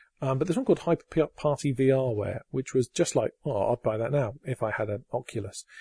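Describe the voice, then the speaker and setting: A man with an English accent speaks fairly quickly with hardly any pauses, his tone dark, mellow and somewhat breathy. The sound is dry and close with no echo, over a quiet background. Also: medium pitch for a man, ordinary pitch variation. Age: 40s. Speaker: podcast host. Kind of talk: casual chat. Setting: home recording.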